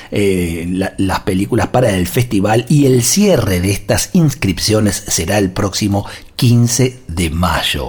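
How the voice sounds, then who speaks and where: The intonation is lively. Noticeable background noise is present. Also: man. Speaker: radio host. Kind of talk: radio interview; announcement.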